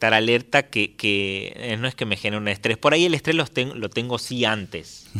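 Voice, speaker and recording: Speaking with hardly any pauses, a man has a bright, sharp tone at a medium pitch, with a dry, close sound with no echo. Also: ordinary pitch variation, moderate pace. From Tucumán, Argentina. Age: 30s. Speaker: folk musician. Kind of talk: radio interview. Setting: studio.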